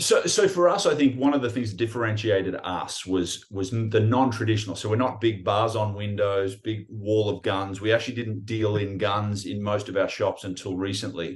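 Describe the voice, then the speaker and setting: A somewhat breathy man with an Australian accent, fairly low pitch, ordinary pitch variation, a moderate pace and hardly any pauses. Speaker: pawn shop owner and breathwork teacher. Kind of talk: casual interview. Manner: hesitant with fillers and repetitions.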